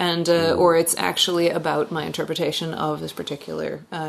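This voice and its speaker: This woman talks at a fairly quick pace. She has a Pacific Northwest accent. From Washington State, US. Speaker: singer-songwriter. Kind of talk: casual interview chat. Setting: in person in a living room.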